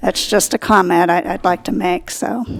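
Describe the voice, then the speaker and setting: A woman speaks fairly slowly at a medium pitch, with vocal fry in her voice. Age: 60s. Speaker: public commenter at city meeting. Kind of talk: public comment at meeting. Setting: city commission meeting.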